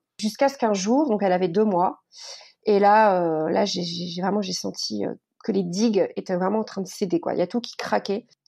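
Over a quiet background, a woman with a dark, mellow tone speaks at medium pitch and a moderate pace. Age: 30s. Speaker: author and teacher. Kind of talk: interview. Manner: halting, many repetitions and fillers.

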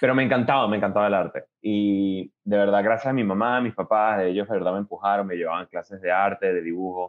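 Talking at a very fast pace with hardly any pauses, a man keeps a fairly low pitch and fairly even intonation. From Venezuela (Caracas), then Miami from age 10-11. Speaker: animation director. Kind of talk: interview. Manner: hesitant, many fillers and repetitions.

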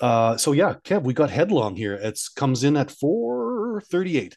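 A man with a Canadian accent and a plain, everyday voice, lively intonation, a fairly slow pace, and a quiet background. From Canada. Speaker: podcast co-host. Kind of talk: casual chat. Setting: hotel room.

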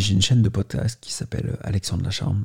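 On a very clean recording with a silent background, a somewhat breathy, dark and mellow voice holds a fairly even intonation. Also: man. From Paris, France. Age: 30s. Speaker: YouTuber. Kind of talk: testimony. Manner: halting.

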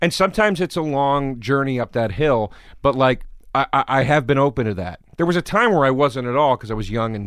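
A man's medium-pitched voice at a moderate pace on a very clean recording with a silent background. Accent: American. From Pennsylvania, Philadelphia suburbs. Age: 30s. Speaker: comedian. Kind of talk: casual chat.

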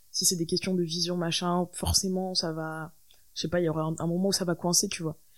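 On a very clean recording with a silent background, a woman talks at a fairly quick pace in a monotone, flat intonation. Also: fairly low pitch for a woman. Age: 20s. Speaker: musician. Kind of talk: interview. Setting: host's living room.

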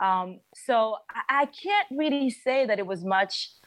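Against a quiet background, a woman speaks with a French accent. Her pitch varies in an ordinary way. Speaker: singer and musician. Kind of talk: interview. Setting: video call.

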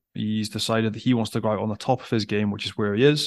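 With a Scottish accent, a man speaks in a fairly low pitch against a quiet background, the sound dry and close with no echo. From Scotland. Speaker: rugby pundit, former player. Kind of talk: casual chat.

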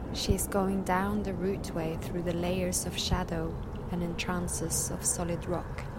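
Over noticeable background noise, a woman speaks fairly slowly in a solemn tone. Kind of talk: mythic guided narration, scripted vision-quest meditation read aloud. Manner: slow, hushed, dreamlike and incantatory with long pauses; soft, solemn and intimate, addressing 'you'.

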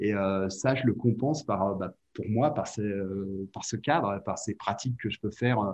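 Fairly low male speech, fairly even in intonation. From Catalonia (French Catalan region). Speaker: ski resort director. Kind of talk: interview. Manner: halting, with repetitions.

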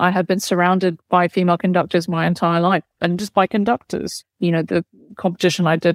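A woman with a London accent speaks at a fairly quick pace, her fairly low voice monotone and flat, recorded dry and close with no echo on a very clean track with a silent background. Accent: southern English (London). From London, England. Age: young. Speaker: orchestra conductor. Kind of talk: interview.

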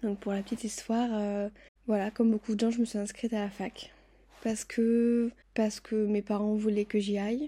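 A woman's fairly high voice with a dark, mellow tone, flat monotone intonation, a moderate pace, and a very clean recording over a silent background. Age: 20s. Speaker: podcast host. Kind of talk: personal monologue.

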